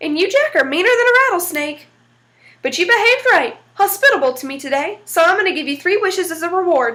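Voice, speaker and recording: A woman does a squeaky, put-on character voice at an extremely high pitch. She talks very fast, with very wide pitch swings. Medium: read story.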